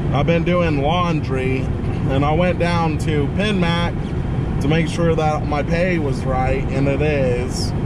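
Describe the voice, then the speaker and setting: Over loud background noise, a man speaks at a very slow pace with ordinary pitch variation, and the sound is dry with no echo. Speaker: vlogger. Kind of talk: casual vlog chat. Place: car. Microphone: phone near.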